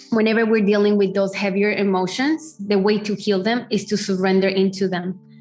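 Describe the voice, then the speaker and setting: A woman speaks with a medium pitch. Music plays in the background. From Colombia. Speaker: feminine empowerment coach. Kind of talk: podcast interview answer.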